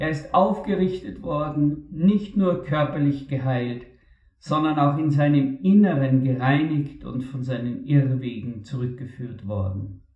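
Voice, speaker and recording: With an unremarkable speaking voice, a man talks at a fairly slow pace, with a fairly high pitch and lively intonation. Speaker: preacher. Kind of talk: sermon. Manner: formal, earnest; measured, reflective.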